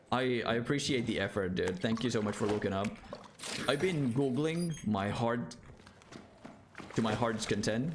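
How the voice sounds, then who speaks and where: A medium-pitched man with a non-native accent speaks at a moderate pace in an animated tone, with ordinary pitch variation and very even loudness. Long, frequent pauses break his speech, with noticeable background noise and audible room echo. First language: not English. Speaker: gaming streamer. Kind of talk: casual live gaming stream.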